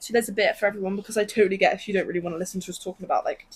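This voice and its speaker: A woman with a British accent at a very fast pace, with ordinary pitch variation. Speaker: podcast co-host. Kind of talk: casual chat.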